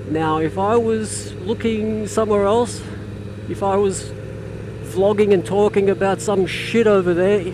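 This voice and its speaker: With an Australian accent, a man speaks at a fairly slow pace against noticeable background noise. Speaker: motorcycle vlogger. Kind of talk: casual vlog monologue while riding. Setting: riding a motorcycle in traffic. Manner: hesitant, repetitive fillers.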